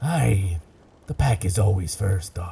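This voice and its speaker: A man does a put-on character voice at a very deep, low pitch. He delivers it at a fairly slow pace. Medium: audio drama. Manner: gruff, commanding, salty.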